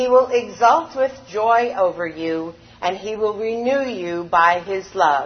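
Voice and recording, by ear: Natural-voiced reading aloud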